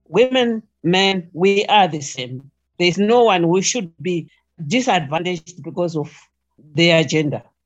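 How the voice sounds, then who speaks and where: Speaking at a fairly slow pace in a Zimbabwean accent, a woman uses lively intonation in a fairly low voice. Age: 70s. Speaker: retired nurse. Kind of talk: interview.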